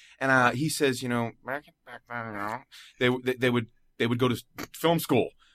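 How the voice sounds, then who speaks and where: Speaking with an American accent, a man at medium pitch goes at a fairly quick pace with fairly even intonation and big swings in loudness. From US Northeast, Philadelphia. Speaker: voice actor. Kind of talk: casual chat. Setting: studio.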